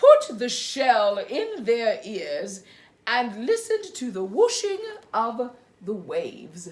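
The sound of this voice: The reading voice here is unforced.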